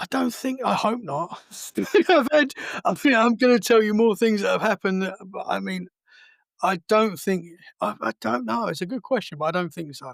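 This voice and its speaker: In an Essex accent, a man with a high pitch speaks at a moderate pace with very wide pitch swings, in a very clean recording with a silent background. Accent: southern English (Essex). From Essex, England. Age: 30s. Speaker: podcast host. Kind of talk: casual chat. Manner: halting.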